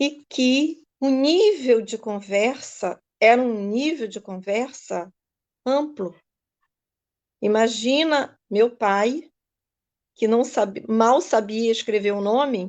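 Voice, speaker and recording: A woman speaks very slowly at a fairly high pitch, with ordinary pitch variation and long, frequent pauses. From Brazil, rural Araruama, Rio de Janeiro state. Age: 60s. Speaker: ayurveda and yoga teacher. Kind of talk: live stream talk. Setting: Facebook live.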